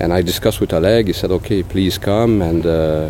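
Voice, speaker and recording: A man's very deep, low voice with a Quebec accent and fairly even intonation, against noticeable background noise. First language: French. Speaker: pig production consultant. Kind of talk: interview. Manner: halting, many fillers.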